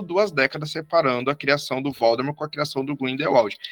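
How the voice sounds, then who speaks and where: A man speaks at a fairly quick pace in a bright, sharp tone. The sound is dry and close, with no echo. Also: very clean recording, silent background. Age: 30s. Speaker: historian. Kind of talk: educational discussion.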